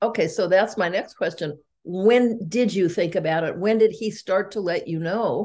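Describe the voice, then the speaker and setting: Here a woman speaks at medium pitch with a dark, mellow tone. Her pace is moderate, with ordinary pitch variation. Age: 80s+. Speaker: podcast host. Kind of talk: casual interview.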